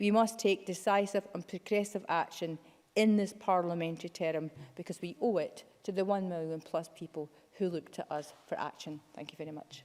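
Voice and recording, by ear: With a slightly mellow tone, a woman talks at a moderate pace, using fairly even intonation and few pauses. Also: fairly low pitch for a woman.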